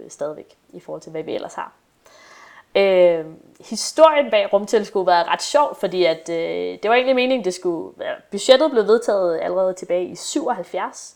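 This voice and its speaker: Here is a woman with a plain, everyday voice at a medium pitch. She talks at a moderate pace with lively intonation. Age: 20s. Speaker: astronomy PhD student. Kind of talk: casual chat.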